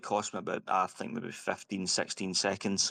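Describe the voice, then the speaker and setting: Fairly low male voice with a Scottish accent at a moderate pace. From Scotland. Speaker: sim racing driver. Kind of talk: post-race interview.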